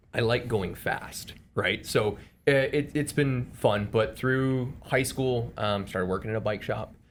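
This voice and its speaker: With a medium pitch and ordinary pitch variation, the man delivers his words fairly slowly. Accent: Chicago. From Chicago area, Evanston. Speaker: amateur bike racer. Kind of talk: casual podcast chat. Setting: studio podcast on camera.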